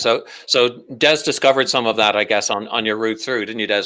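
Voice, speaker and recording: With an Irish accent, a man talks at a fairly quick pace in a bright, sharp tone at a medium pitch. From Ireland. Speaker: comedian and talk host. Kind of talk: online panel talk.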